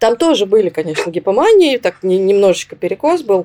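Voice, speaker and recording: A woman with a dark, mellow tone and medium pitch talks at a fairly quick pace with lively intonation. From southern Russia, Rostov-on-Don. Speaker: psychologist. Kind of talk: interview.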